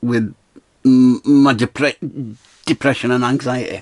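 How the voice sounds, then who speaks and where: Recorded with a dry, close sound and no echo, a man speaks with a Scottish accent. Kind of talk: casual talk to camera. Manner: rambling, stuttering.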